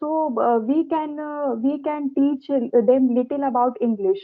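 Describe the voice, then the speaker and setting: In an Indian accent, a woman speaks at a fairly slow pace with a high pitch. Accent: Indian English (Hindi). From India, Uttar Pradesh. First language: Hindi. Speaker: teacher. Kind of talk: casual chat. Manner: halting, many fillers.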